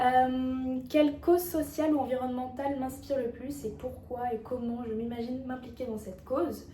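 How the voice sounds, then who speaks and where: A woman speaks at a high pitch with fairly even intonation. Noticeable background noise and audible room echo surround her. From France, Auvergne. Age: 20s. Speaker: beauty pageant contestant. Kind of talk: self-presentation video. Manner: hesitant, many fillers.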